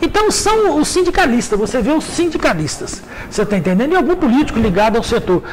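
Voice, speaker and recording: Over noticeable background noise, a man talks at a very fast pace. His pitch is extremely high, with very wide swings. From Minas Gerais, Brazil (Vale do Rio Doce). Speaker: journalist and magazine editor. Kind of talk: radio interview. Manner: halting, repeats words.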